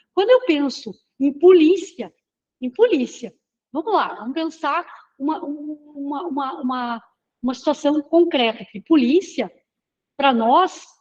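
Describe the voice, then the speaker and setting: A high-pitched woman talks at a fairly slow pace with lively intonation. Her loudness swings widely, and she takes long, frequent pauses. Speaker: professor. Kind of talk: lecture. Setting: classroom with students. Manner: halting.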